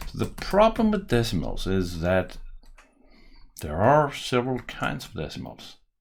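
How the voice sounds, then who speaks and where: With a strong Danish accent, a man speaks at a fairly slow pace, leaving long, frequent pauses, and his loudness swings widely. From Denmark. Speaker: software developer and tutorial maker. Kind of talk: coding tutorial; tutorial. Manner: casual, thinking aloud with hesitations.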